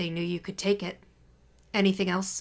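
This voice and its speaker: A woman's raspy, put-on character voice, medium in pitch, monotone and flat, at a moderate pace. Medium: read story. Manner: blunt, authoritative, matter-of-fact.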